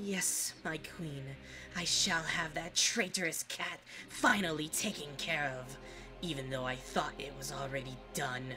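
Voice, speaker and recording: The voice sits at a middle pitch and moves at a moderate pace, with clear background noise behind it. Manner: cold, menacing, vengeful.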